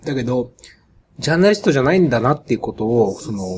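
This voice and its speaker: Somewhat breathy and medium-pitched, a man's voice ranges through very wide pitch swings. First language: Japanese (speaking French). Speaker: documentary filmmaker. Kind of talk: interview. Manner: halting.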